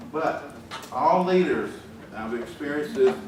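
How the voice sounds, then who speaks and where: A man speaks slowly with lively intonation and a strong Southern US accent. Noticeable background noise and audible room echo fill the recording. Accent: deep Southern US. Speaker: engineering executive giving a talk. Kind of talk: conference speech. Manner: folksy, conversational.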